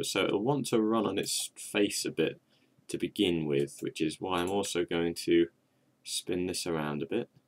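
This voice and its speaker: A quiet man at a fairly slow pace, in a dry, close sound with no echo. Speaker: gaming video creator. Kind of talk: gameplay commentary. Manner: casual, halting.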